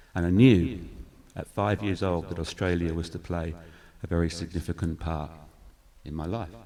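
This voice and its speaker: A man with an English accent speaks at a very deep, low pitch in a dark, mellow tone. He keeps a moderate pace and fairly even intonation, with long, frequent pauses. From England, Newmarket near Cambridge. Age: 50s. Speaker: church community worker. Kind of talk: testimony.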